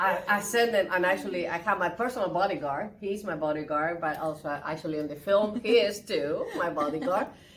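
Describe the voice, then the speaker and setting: A woman talks at a fairly quick pace with ordinary pitch variation over noticeable background noise. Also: medium pitch for a woman, hardly any pauses. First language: Spanish. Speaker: interpreter and actress. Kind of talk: casual interview. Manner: animated.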